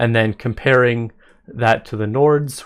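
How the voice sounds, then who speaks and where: A man speaks at a medium pitch in an ordinary speaking voice, with fairly even intonation and a fairly slow pace. The recording is very clean, with a silent background. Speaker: gaming content creator. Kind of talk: video game commentary.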